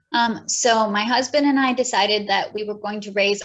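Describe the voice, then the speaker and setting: A woman with an American accent, medium pitch, fairly even intonation and a fairly slow pace. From US Midwest, Michigan. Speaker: homeschool YouTuber and curriculum writer. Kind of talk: casual interview chat.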